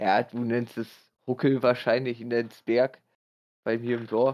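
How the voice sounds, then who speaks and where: With a medium pitch, a man speaks at a fairly slow pace in a monotone, flat intonation. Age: 20s. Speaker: podcast guest. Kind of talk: casual chat. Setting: online voice call.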